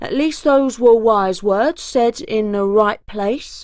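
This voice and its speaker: In a put-on character voice, a woman growls at a fairly high pitch and a fairly slow pace. The recording is very clean, with a silent background. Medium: read story. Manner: stern, growling.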